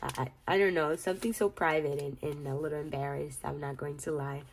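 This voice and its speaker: With a very deep, low pitch and ordinary pitch variation, a woman talks. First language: Spanish. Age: 30s. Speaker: budgeting vlogger. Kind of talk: casual vlog tutorial. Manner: halting, repeats words.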